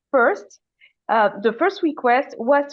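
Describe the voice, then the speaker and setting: This woman speaks with a French accent. Her pitch variation is ordinary. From Madagascar. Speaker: climate activist. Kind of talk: panel discussion. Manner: halting, many fillers and restarts.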